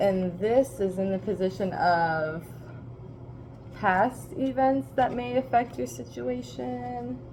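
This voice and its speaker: Very slowly and somewhat breathily, a woman speaks in a fairly low pitch with very wide pitch swings. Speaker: tarot reader. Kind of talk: tarot reading livestream. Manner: casual, rambling with fillers.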